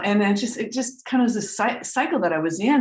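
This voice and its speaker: A somewhat breathy woman's voice in an American accent, with lively intonation. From US Northeast (Vermont). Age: 60s. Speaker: trance medium and spiritual teacher. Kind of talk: casual chat. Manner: halting, repeats words.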